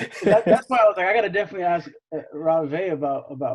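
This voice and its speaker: A man talks at a very fast pace with a Californian accent. His pitch varies in an ordinary way. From US West Coast (San Fernando Valley, Los Angeles). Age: 20s. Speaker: young real estate investor. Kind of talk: casual interview chat.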